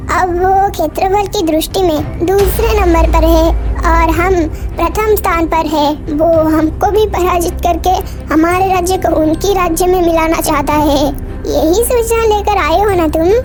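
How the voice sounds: A cartoonish character voice moves along at a moderate pace. Loud background noise fills the recording.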